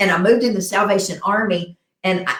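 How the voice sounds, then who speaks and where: A woman speaks with a medium pitch. Her pace is fairly quick. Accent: Southern US. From US South. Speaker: talk show host. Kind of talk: casual interview chat. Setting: live stream.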